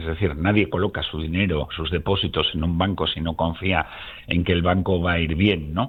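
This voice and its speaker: A man's very deep, low voice, somewhat breathy, at a moderate pace with ordinary pitch variation. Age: 60s. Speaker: biologist and company founder. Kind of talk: radio interview.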